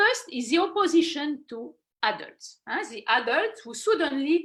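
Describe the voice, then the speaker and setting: Someone speaks at a moderate pace in a French accent. The pitch swings very widely. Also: woman. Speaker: philosopher and children's author. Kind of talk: online talk. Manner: halting, many fillers.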